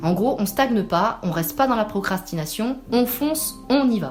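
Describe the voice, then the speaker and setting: With music in the background, a woman speaks at a moderate pace. Her intonation is lively. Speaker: spiritual guide and meditation host. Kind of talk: spiritual podcast monthly guidance. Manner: calm, gentle, soothing.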